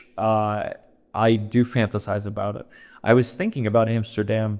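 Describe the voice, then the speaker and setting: A man talks at a moderate pace with fairly even intonation. Music plays in the background. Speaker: comedian. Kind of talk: casual chat. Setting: in Amsterdam, travelling. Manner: loud.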